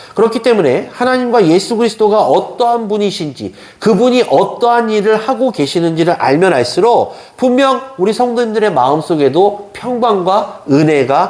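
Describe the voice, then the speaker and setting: Over noticeable background noise and audible room echo, a man talks at a moderate pace with hardly any pauses. His high voice has very wide pitch swings and very even loudness. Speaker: pastor. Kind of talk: sermon.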